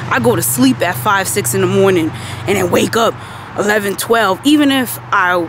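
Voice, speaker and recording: A woman talks at a fairly slow pace with very wide pitch swings. The sound is dry with no echo, and the background noise is noticeable. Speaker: vlogger. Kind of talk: casual vlog chat. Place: street. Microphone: phone near.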